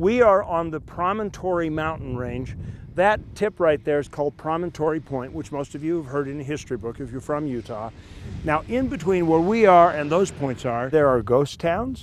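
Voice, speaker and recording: A man at a moderate pace with lively intonation, a dry sound with no echo, and light background noise. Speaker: TV travel show host. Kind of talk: presenter talk to camera. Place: open country. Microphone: lapel.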